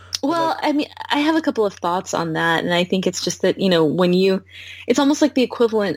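Heard in a dry, close sound with no echo, a woman of medium pitch speaks in an ordinary speaking voice. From United States. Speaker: founder and CEO of a VR company. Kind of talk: casual interview.

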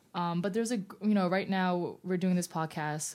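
In a plain, everyday voice, a woman with an American accent speaks at a fairly quick pace and fairly low pitch, her intonation fairly even on a very clean recording with a silent background. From New York City. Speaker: culinary writer. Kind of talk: casual chat.

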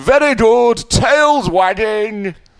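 This man uses a put-on character voice pitched high. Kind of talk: posh. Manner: hearty.

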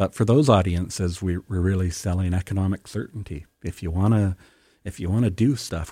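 In a very clean recording with a silent background and a dry, close sound with no echo, a man with a very deep, low pitch and a dark, mellow, somewhat breathy tone speaks at a fairly quick pace with ordinary pitch variation. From Canadian West Coast, First Nation between Vancouver Island and mainland. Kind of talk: radio interview. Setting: radio studio.

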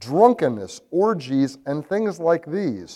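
At a fairly slow pace, a man speaks in a dark, mellow tone with very wide pitch swings in a very clean recording with a silent background. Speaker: lay preacher. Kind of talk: sermon. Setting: church, broadcast. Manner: halting, with fillers.

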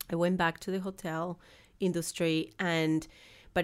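On a very clean recording with a silent background, a woman with a strong Argentine accent speaks at a fairly low pitch in a monotone, flat intonation with vocal fry. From Argentina. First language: Spanish. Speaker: business founder. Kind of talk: interview.

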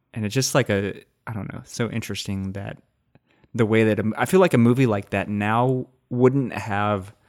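A man with a Texas accent, fairly low in pitch, at a moderate pace with fairly even intonation, on a very clean recording with a silent background. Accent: mild Texas. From rural Texas. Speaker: podcast host. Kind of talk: casual chat.

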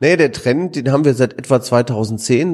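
The man's tone is dark and mellow. He keeps to a moderate speed. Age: 40s. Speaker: economics professor. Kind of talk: interview. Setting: office room at institute.

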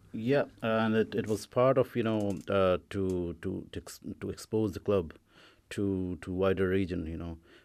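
Speaking in an Indian accent at a fairly slow pace with ordinary pitch variation, the voice comes through on a very clean recording with a silent background. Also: man, fairly low pitch for a man. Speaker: club chairperson. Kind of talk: casual radio interview. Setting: studio. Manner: halting, repetitive fillers.

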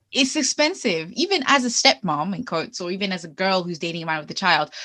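An animated, bright and sharp woman's voice at medium pitch, fairly quick in pace with lively intonation, over a quiet background. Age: 20s. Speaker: podcast co-host. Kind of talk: casual chat.

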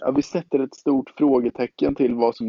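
Here a man speaks in a normal speaking voice. He keeps a moderate pace and fairly even intonation. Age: 20s. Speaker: podcast co-host, canoeist. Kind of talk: casual chat.

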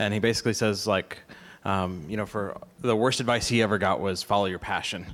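A man's fairly low, plain, everyday voice, fairly quick and with fairly even intonation. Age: 30s. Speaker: video production company founder. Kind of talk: panel discussion. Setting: live event with audience.

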